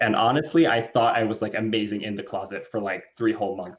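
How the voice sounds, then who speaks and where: A man's medium-pitched voice with ordinary pitch variation and a Southern Californian accent. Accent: Valley Girl. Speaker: cricket rancher. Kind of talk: podcast interview. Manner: animated.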